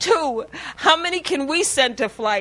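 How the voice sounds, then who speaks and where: A woman speaks at a high pitch. Her voice is raised and projected. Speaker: speaker sharing testimony. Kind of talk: testimony.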